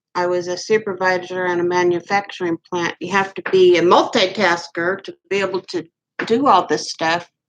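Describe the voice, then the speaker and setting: Speaking with a Midwestern US accent, a woman keeps a fairly slow pace. Her pitch is medium and her intonation fairly even. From Kansas, Wichita. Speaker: vlogger. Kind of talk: casual monologue.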